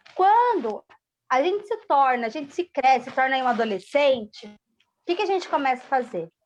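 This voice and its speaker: A woman with a high voice speaks at a moderate pace, her pitch swinging very widely. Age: 30s. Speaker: support group coordinator. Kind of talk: casual chat.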